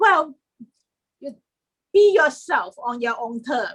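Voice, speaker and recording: A woman with a Chinese accent talks at a high pitch, her voice making very wide pitch swings. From China. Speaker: historian and writer. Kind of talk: interview.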